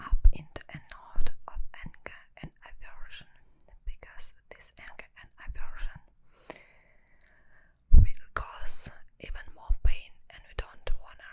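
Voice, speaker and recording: Whispering, a woman speaks very slowly with long, frequent pauses and big swings in loudness. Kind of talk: ASMR whispered meditation talk. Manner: whispered.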